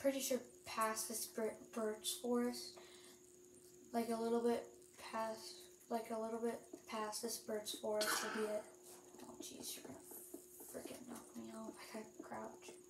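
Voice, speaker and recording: Loud background noise surrounds a woman whose loudness swings widely. She speaks at a fairly slow pace with long, frequent pauses. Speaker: gaming youtuber; gamer. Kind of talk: gameplay commentary. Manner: halting, many fillers. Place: home room. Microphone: phone near.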